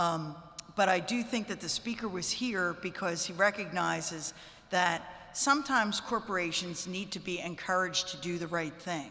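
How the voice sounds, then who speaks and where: A woman's medium-pitched voice at a moderate pace with ordinary pitch variation and audible room echo. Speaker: state legislator. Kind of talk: press conference remarks.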